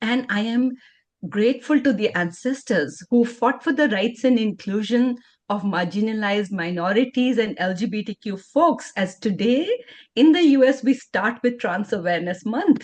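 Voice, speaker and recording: A woman speaks at a moderate pace with a fairly high, somewhat breathy voice. Her intonation is lively. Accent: Indian. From India. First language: Indian language, not English. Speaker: LGBTQ advocate and educator. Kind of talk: conference workshop presentation.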